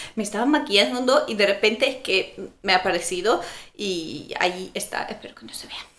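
Her intonation is lively, and her loudness swings widely. The woman keeps a moderate pace. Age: 20s. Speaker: beauty vlogger. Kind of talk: product review vlog. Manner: casual, hesitant with fillers. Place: home room. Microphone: camera far.

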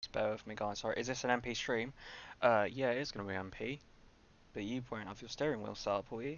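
The sound is dry with no echo. A man speaks with fairly even intonation. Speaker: game streamer. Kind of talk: casual livestream chat. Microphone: headset.

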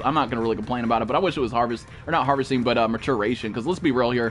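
Music plays in the background as the speech rushes along at a very fast pace. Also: man. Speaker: live game streamer reading chat. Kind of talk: casual, heavy profanity. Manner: fast talker; fast talker, this is his normal pace. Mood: mildly annoyed, ranting.

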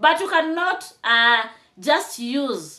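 A woman speaks in an animated, bright and sharp tone. The background is quiet. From Kenya. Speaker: YouTube commentator. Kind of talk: commentary vlog. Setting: home, on camera with tripod. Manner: animated, emphatic. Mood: indignant. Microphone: phone near.

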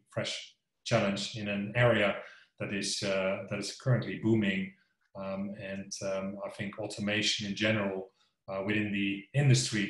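A man talks at a moderate pace in a somewhat breathy voice, his intonation fairly even. Room echo is audible around him. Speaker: company sales executive. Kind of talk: interview answer. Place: home room. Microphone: video call.

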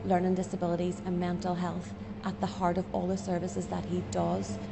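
Music plays in the background as a woman talks. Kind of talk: interview answer. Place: cafe.

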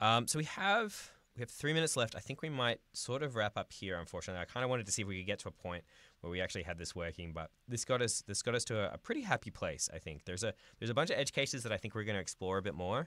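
Talking at a very fast pace, a man with a medium pitch and lively intonation has a bright, sharp tone in a dry recording with no echo. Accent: Australian. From Australia. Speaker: software developer live streamer. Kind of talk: live coding stream. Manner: casual, filler-heavy.

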